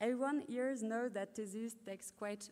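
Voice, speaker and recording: A woman's fairly high voice with a French accent and fairly even intonation. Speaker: PhD graduate. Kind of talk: ceremony speech.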